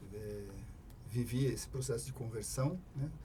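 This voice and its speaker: A man's voice carries audible room echo. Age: 60s. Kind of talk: casual chat.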